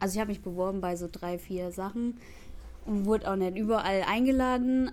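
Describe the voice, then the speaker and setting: This woman has a plain, everyday voice. Her intonation stays fairly even. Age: young. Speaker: trainee dance teacher. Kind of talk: interview.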